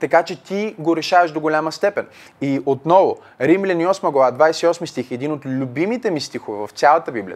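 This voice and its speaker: A man with a fairly high pitch talks with lively intonation. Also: moderate pace, very clean recording, silent background. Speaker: pastor. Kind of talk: Q&A teaching with Bible exposition. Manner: halting, many fillers.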